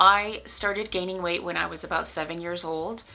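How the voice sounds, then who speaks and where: Speaking with an ordinary speaking voice, a woman has a fairly low pitch. She keeps a moderate pace and fairly even intonation. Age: 30s. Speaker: lifestyle vlogger. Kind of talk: personal vlog. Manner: casual, conversational.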